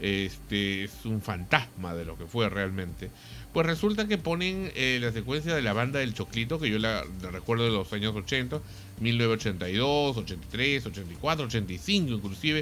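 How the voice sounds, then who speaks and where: Very wide pitch swings from a man at a very slow pace. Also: medium pitch for a man. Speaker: radio host. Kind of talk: casual chat.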